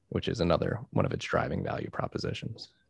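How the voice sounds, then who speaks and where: This recording of a man is very clean, and the background is silent. His voice sounds dry and close, without any echo. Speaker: podcast host. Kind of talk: casual interview chat.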